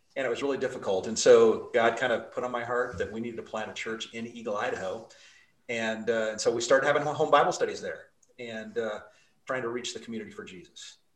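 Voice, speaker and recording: A man with an American accent talks at a very fast pace, with big swings in loudness. Audible room echo surrounds his voice. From Utah (Salt Lake City). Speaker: pastor. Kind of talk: interview.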